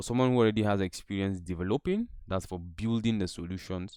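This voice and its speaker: This is a normal speaking voice from a man, fairly low in pitch with ordinary pitch variation. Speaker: tech instructor. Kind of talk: online lecture.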